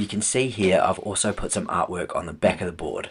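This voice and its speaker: An upbeat man with a New Zealand accent. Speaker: furniture restorer and YouTuber. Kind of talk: tutorial voiceover.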